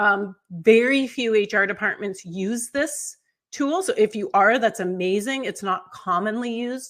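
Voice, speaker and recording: In a plain, everyday voice, a woman with a fairly high pitch speaks at a moderate pace with ordinary pitch variation. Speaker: onboarding consultant, company founder. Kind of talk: webinar presentation. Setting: video webinar.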